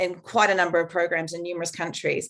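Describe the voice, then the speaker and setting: This woman speaks at a medium pitch with a New Zealand accent. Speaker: veterinarian and shelter welfare expert. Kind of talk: conference talk.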